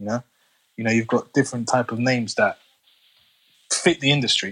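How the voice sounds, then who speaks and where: Speaking in a London accent, a man talks at a moderate pace with a medium pitch and fairly even intonation. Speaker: construction business owner. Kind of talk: casual chat.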